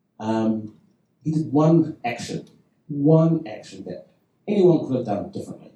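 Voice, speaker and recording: At a fairly slow pace, a man with a somewhat breathy, dark, mellow tone speaks with lively intonation and long, frequent pauses. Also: fairly high pitch for a man, big swings in loudness. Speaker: improv performer and teacher. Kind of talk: panel discussion.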